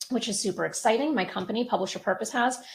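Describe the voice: A woman speaks at a fairly high pitch. Her tone is fairly bright, with ordinary pitch variation.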